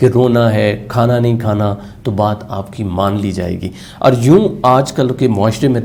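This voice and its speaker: The voice belongs to a man with medium pitch. His tone is dark and mellow. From Pakistan. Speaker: motivational speaker, radio jockey. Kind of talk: motivational lecture.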